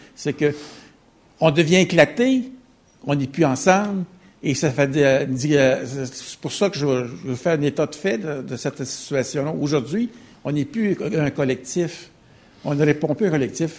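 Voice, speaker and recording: Somewhat breathy and fairly high in pitch, a man talks at a fairly slow pace with ordinary pitch variation and long, frequent pauses. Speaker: audience member. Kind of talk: audience question.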